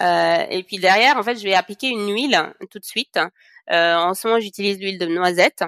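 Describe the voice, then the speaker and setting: A woman talks fairly quickly in a normal speaking voice at a medium pitch, with ordinary pitch variation. Her loudness swings widely, and the sound is dry and close with no echo. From Senegal. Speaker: cosmetics entrepreneur. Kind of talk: podcast interview.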